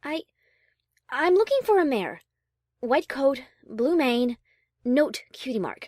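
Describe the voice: In a put-on character voice, a woman speaks slowly at a high pitch with big pitch swings and a slightly mellow tone. The sound is dry and close with no echo, on a very clean recording with a silent background.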